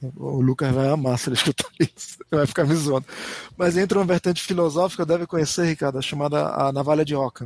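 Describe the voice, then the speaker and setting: Through noticeable background noise, a man with a fairly high voice talks at a very fast pace with fairly even intonation, in a dry, close sound with no echo. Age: 40s. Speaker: podcast co-host. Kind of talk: casual chat.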